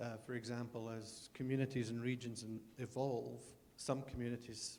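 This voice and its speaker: Speaking with a Scottish accent, a man uses a medium pitch and monotone, flat intonation. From Scotland. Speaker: audience member. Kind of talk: audience question.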